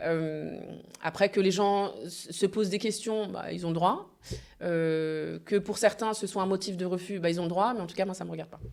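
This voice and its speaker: A woman's medium-pitched voice at a moderate pace, with fairly even intonation and big swings in loudness. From France, Normandy (Le Havre). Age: 30s. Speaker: event agency founder. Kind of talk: podcast interview. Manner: hesitant, many fillers.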